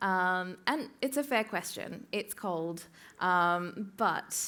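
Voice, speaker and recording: Medium-pitched woman with an Australian accent, in a very clean recording against a silent background. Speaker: music tech community co-founder. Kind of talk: conference talk. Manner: hesitant with many fillers.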